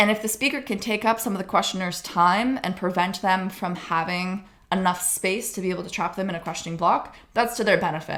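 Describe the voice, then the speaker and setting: A woman talks in a normal speaking voice at a medium pitch. Her pitch variation is ordinary, and she takes hardly any pauses. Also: fairly quick pace. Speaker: debate coach / educational youtuber. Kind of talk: tutorial. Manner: casual, chatty.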